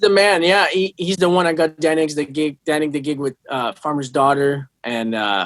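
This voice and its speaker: A man with a fairly high pitch talks at a moderate pace with hardly any pauses. His loudness swings a lot, and the sound is dry and close with no echo. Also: ordinary pitch variation. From Quebec City, Canada. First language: French. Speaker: touring guitarist. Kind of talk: interview.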